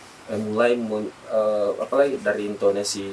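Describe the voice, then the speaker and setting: Noticeable background noise fills the recording. Beneath it, a man talks at a fairly slow pace, his intonation lively. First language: Bugis (speaking Indonesian). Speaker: event host and community organizer. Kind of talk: podcast interview. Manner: halting, many fillers.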